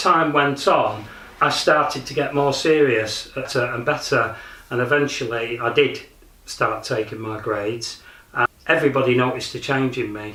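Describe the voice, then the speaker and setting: Amid audible room echo and noticeable background noise, a man with a Lancashire accent speaks at a moderate pace, his medium pitch varying in an ordinary way. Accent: northern English, Lancashire. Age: 60s. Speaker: martial arts practitioner. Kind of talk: documentary interview. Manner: hesitant, with fillers.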